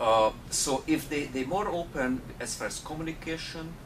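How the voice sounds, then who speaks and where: In a Hungarian accent, the speaker goes at a fairly slow pace with lively intonation, amid noticeable background noise and audible room echo. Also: man. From Hungary. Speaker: technology entrepreneur. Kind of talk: interview. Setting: conference. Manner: halting, many fillers.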